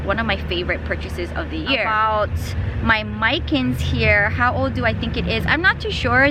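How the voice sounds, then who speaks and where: This is a woman's voice with audible room echo. Noticeable background noise runs underneath. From Hawaii, Big Island (Hilo). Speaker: plant YouTuber and Pilates teacher. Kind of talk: casual Q&A vlog. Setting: outdoors at home.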